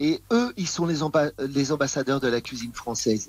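In a plain, everyday voice, a man with a fairly high pitch speaks at a moderate pace on a very clean recording with a silent background. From France. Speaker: chef and TV personality. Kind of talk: interview.

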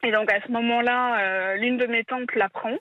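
At a moderate pace, a woman with an unremarkable speaking voice talks with fairly even intonation. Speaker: caller, incest survivor. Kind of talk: testimony. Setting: phone call.

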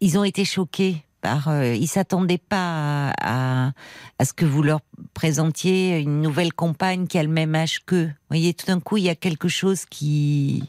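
Very deep and low in pitch, a woman's voice has a warm tone and ordinary pitch variation at a fairly slow pace. The sound is dry and close with no echo. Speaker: radio host. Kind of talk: late-night call-in show. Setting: studio. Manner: warm, empathetic.

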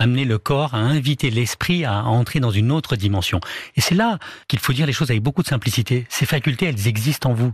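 A somewhat breathy man at a very fast pace, with very even loudness and ordinary pitch variation. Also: medium pitch for a man. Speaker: hypnotherapist. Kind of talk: radio interview. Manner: calm, soothing.

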